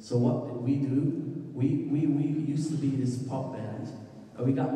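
Strong room echo surrounds a man who speaks at a very slow pace. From Belgium. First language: Dutch. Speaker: musician. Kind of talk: presentation talk. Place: hall. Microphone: handheld.

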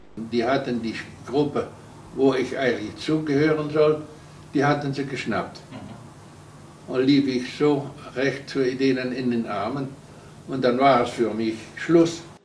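A man's voice at a fairly slow pace with fairly even intonation and long, frequent pauses, in a room with audible echo and light background noise. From Netherlands. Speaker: concentration camp survivor, eyewitness. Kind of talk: interview answer. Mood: earnest, recounting wartime memories. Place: home room.

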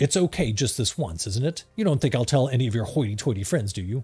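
A man puts on a gruff character voice at medium pitch with lively intonation. He talks at a very fast pace over faint music in the background. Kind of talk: 1920s gangster melodrama reading. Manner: gruff, playful, speaks in questions.

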